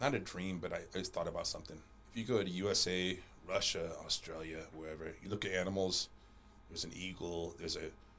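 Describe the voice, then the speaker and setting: A man rattles off his words at a very fast pace, his voice carrying audible room echo. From Panama. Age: 40s. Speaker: martial arts champion and coach. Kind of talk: casual interview chat. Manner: halting, repeats words.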